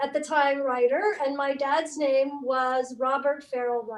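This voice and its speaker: At a fairly slow pace, a woman with an American accent speaks in a high pitch. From southeastern Idaho, US. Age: 60s. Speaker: family member telling life story. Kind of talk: casual family chat. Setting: video call.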